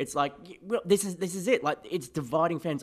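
Here a man speaks with an Australian accent at a fairly quick pace. The recording is very clean, with a silent background. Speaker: podcast host, music fan. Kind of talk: casual chat.

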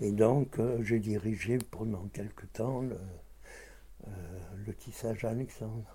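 A man's medium-pitched voice, dark, mellow and somewhat breathy, very slow with long, frequent pauses and fairly even intonation. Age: 80s+. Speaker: textile shop owner. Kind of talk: casual chat.

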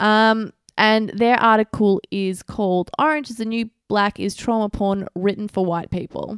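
Recorded dry and close with no echo, a woman talks in an unremarkable speaking voice pitched fairly high. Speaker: podcast co-host. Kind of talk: casual chat. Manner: blunt, teasing.

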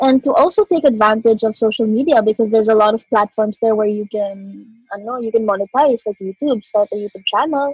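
A woman talks at a fairly quick pace in a fairly high, somewhat breathy voice with ordinary pitch variation. The sound is dry and close, with no echo. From Philippines. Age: 20s. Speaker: rapper. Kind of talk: interview.

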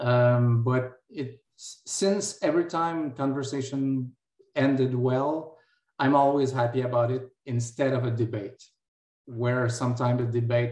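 A man with a Quebec accent, talking at a fairly slow pace. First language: French. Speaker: physics lecturer and philosophy doctoral student. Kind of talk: panel discussion.

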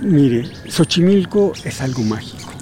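Noticeable background noise sits behind a man speaking with lively intonation. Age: 60s. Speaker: kayak tour guide. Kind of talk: guided tour explanation. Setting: outdoors.

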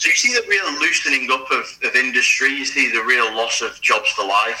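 Noticeable background noise behind a man's fairly quick speech. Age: 30s. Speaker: rugby league historian. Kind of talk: interview.

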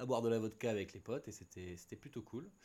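A man with ordinary pitch variation. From Paris region, Seine-et-Marne. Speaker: graphic designer. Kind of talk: casual chat.

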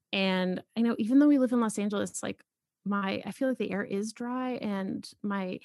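A woman's fairly high-pitched, ordinary speaking voice in an American accent, at a moderate pace with ordinary pitch variation and a dry, close sound with no echo. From Boston, US Northeast. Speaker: podcast host and author. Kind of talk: casual chat.

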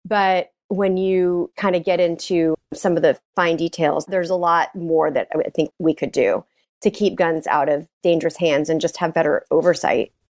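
With a normal speaking voice and an American accent, a woman talks at a moderate pace and a fairly low pitch, with hardly any pauses, fairly even intonation and very even loudness, in a very clean recording with a silent background and a dry, close sound with no echo. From Texas (Dallas area). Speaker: gun safety advocate. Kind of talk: interview.

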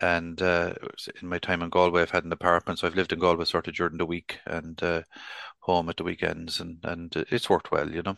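Over a quiet background, a man with a Tipperary accent speaks in a very deep, low pitch and a monotone, flat intonation, the sound dry and close with no echo. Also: fairly quick pace. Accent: Irish, Tipperary. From Ireland, Clonmel, County Tipperary. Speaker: retired local government chief executive. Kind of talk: interview. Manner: halting, many repeated words.

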